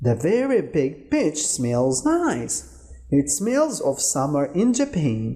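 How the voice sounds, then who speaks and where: A man's put-on character voice, fairly high in pitch, at a very slow pace with very even loudness. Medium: read story.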